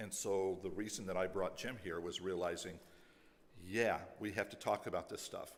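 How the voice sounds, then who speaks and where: A man's very deep, low voice in flat, monotone intonation at a moderate pace, with audible room echo. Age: 60s. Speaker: pastor. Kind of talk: closing remarks to congregation.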